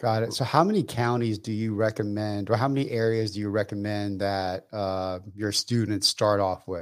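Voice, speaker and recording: A man with an ordinary speaking voice and an American accent, fairly low in pitch, fairly even in intonation, at a moderate pace on a very clean recording with a silent background. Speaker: podcast co-host, real estate investor. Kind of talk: casual interview.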